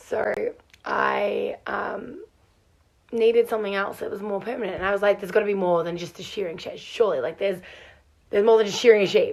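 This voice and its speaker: A woman with an Australian accent, at a fairly quick pace. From Australia, Melbourne. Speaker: farm hand. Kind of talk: casual vlog storytelling. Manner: animated.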